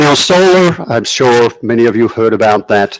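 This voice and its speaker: Speaking with an Australian accent, a man talks at a fairly slow pace and a medium pitch with lively intonation. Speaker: energy company project developer. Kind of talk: public presentation at town board meeting.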